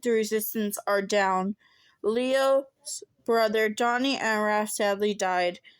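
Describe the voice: Against a quiet background, the recording presents plain reading aloud.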